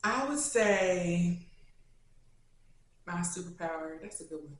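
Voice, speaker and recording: A woman speaks in an animated tone. Audible room echo surrounds her voice. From Kentucky, Louisville. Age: 20s. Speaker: YouTuber. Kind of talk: casual Q&A.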